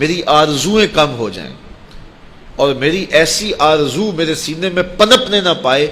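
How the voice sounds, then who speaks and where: Noticeable background noise sits behind a man with a fairly high pitch and lively intonation. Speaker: Islamic preacher. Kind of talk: religious sermon (bayan). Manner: emotional, earnest.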